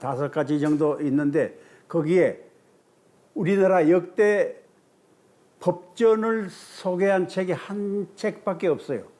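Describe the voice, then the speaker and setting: A man speaks with a dark, mellow tone, a high pitch and ordinary pitch variation. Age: 90s. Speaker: retired law professor, legal historian. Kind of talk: interview. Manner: hesitant, frequent fillers.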